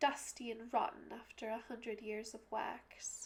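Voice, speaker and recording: A soft-spoken woman talks at a fairly high pitch and a fairly slow pace. Her intonation is monotone and flat, with noticeable background noise. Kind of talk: poetry reading.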